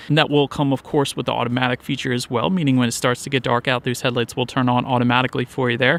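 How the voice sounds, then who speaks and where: Very fast, flat monotone speech with an American accent, at a very even loudness, the sound dry and close with no echo. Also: man, medium pitch for a man, hardly any pauses. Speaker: car reviewer. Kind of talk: product review. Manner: casual.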